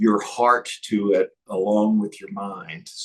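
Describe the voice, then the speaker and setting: A man speaks with an East Texas accent. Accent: East Texas twang. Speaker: entrepreneur. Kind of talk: interview.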